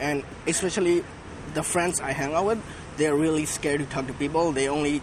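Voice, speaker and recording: A man talks at a fairly quick pace with a fairly high pitch. His intonation stays fairly even, and background noise is noticeable. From Myanmar. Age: 20s. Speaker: subscriber doing approach challenge. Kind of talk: casual chat. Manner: halting.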